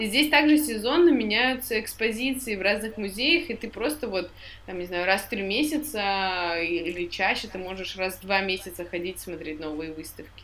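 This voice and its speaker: A woman speaks at a moderate pace with a medium pitch. Her intonation is lively, her loudness swings widely, and there is audible room echo. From Tyumen, western Siberia, Russia. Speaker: podcast co-host. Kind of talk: casual chat.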